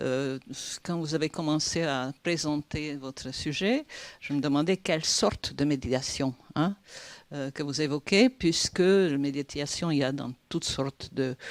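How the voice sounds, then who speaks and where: In a very clean recording with a silent background and a dry, close sound with no echo, a woman speaks fairly slowly at a very deep, low pitch with ordinary pitch variation. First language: Hungarian (speaking French). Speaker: PhD student, audience member. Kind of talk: audience question at conference. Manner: halting, many hesitations.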